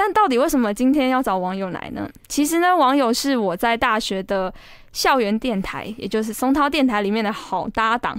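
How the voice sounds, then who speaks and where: At a moderate pace, a woman with a plain, everyday voice speaks in a fairly high pitch with lively intonation. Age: 20s. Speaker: podcast host, student radio DJ. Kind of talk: casual chat.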